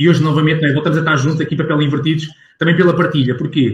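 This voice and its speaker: With a somewhat breathy voice, the man talks at a fairly high pitch. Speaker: sales professional and business owner. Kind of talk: casual interview. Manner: animated.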